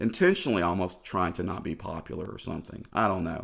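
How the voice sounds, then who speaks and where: In a very clean recording with a silent background, a man with a Southern US accent speaks at a moderate pace. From Tennessee, Clarksville. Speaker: music journalist. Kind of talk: casual interview. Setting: studio.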